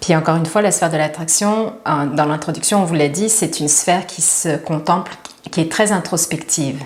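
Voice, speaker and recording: Someone speaks in a Quebec accent at a moderate pace with ordinary pitch variation. Noticeable background noise and audible room echo come through. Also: woman, fairly low pitch for a woman. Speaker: spiritual teacher. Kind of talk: casual chat.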